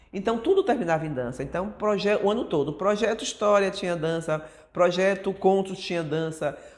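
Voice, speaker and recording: A woman at medium pitch and a moderate pace, against noticeable background noise. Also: ordinary pitch variation. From Brazil, Bahia (Feira de Santana). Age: 60s. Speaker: dancer and choreographer. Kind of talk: documentary interview. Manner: conversational, frequent fillers.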